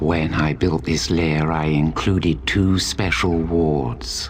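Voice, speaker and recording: Using a put-on character voice, a man speaks very deep and low at a fairly slow pace over clear background noise. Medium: game stream. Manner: cold, measured and haughty.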